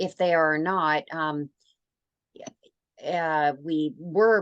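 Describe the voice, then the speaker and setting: A woman with a Canadian accent speaks at a very slow pace, her intonation fairly even. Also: fairly low pitch for a woman. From Canada. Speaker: radio host. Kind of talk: interview.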